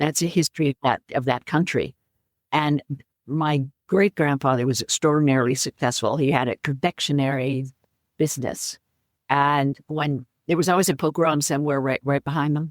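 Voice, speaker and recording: Very deep and low in pitch, a woman with an American accent speaks at a moderate pace with fairly even intonation and very even loudness, the sound dry and close with no echo on a very clean recording with a silent background. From US West Coast, San Francisco. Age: 80s+. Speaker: author. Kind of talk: interview. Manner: halting.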